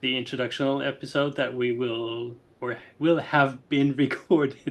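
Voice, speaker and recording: Someone with a non-native accent speaks at a moderate pace in a monotone, flat intonation against a quiet background. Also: man, medium pitch for a man. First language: not English. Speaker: podcast co-host. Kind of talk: casual podcast conversation. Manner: halting, many fillers.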